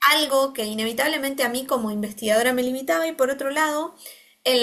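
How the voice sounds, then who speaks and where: A woman's high-pitched, bright, sharp voice, raised and projected, in a very clean recording with a silent background. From Argentina. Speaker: occupational therapist and researcher. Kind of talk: interview conversation. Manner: hesitant, many fillers.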